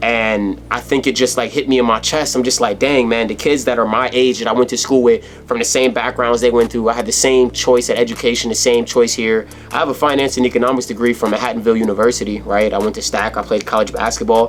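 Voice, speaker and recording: Over noticeable background noise, the speech runs at a very fast pace with hardly any pauses and monotone, flat intonation. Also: man, medium pitch for a man. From New Jersey. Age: 20s. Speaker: motivational YouTuber. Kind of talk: motivational vlog monologue. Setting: editing room, lights off. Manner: earnest, heartfelt.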